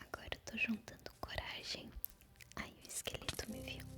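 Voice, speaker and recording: A woman whispering at a fairly slow pace, with big swings in loudness and music in the background. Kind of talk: ASMR gameplay talk to camera. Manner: soft-spoken, whispering.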